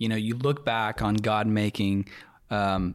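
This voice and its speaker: The intonation stays fairly even on a very clean recording with a silent background. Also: man. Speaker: podcast host and church staff member. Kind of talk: casual chat. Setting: studio.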